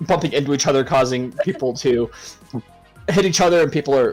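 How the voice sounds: The intonation rises and falls in a lively way. It is a natural reading voice.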